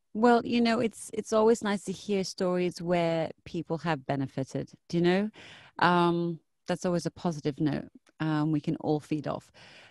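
A plain woman's voice, fairly low in pitch: an ordinary speaking voice with ordinary pitch variation and a moderate pace, a dry sound with no echo, and a quiet background. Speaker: radio host. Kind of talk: casual interview. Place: studio.

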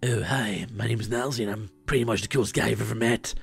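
A man does a put-on character voice that is raspy, at medium pitch, with monotone, flat intonation. He talks at a very fast pace over music in the background. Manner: smug, boastful.

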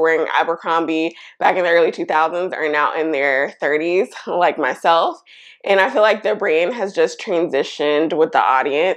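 Her voice is fairly low, with ordinary pitch variation. The woman keeps a moderate pace against a quiet background. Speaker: fashion vlogger. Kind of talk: casual vlog chat. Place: home room. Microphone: lapel.

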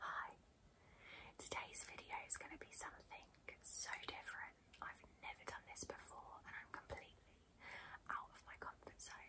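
A woman whispers in a calm tone at a moderate pace, leaving long, frequent pauses. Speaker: beauty blogger / YouTuber. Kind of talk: ASMR unboxing and pamper video, soft-spoken talk to camera. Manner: soft-spoken, calm, relaxing, whispery. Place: home room.

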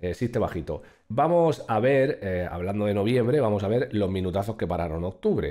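At a moderate pace, the man speaks with a quiet background behind him. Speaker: streamer. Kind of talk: casual reaction commentary. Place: home room. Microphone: studio mic.

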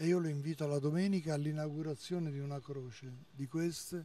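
Speaking at a fairly quick pace, a man with a dark, mellow tone keeps a fairly even intonation in a dry recording with no echo. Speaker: priest. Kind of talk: interview. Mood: earnest, reflective. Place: street. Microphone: handheld.

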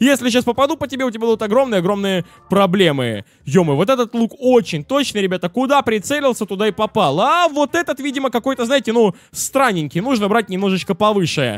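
Lively intonation at a fairly quick pace, in a dry, close sound without echo. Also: man, high pitch for a man. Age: 20s. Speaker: gaming YouTuber. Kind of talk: let's play commentary. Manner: animated.

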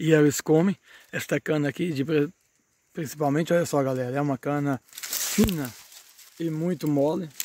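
A man's fairly high voice at a moderate pace, with fairly even intonation and a dry sound with no echo. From Brazil, northern Minas Gerais. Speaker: small farmer and video creator. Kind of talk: casual vlog tutorial. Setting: outdoors in a sugarcane field. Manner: halting, with many fillers. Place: farm machine. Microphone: phone near.

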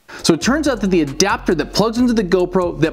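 Faint background music accompanies a man as he speaks. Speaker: fishing vlogger. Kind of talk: casual vlog chat. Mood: frustrated but upbeat. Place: home room.

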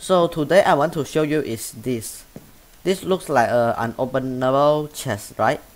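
With a Chinese accent, a man speaks at a fairly high pitch and a fairly slow pace, with ordinary pitch variation. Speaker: gaming YouTuber. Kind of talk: tutorial. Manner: halting.

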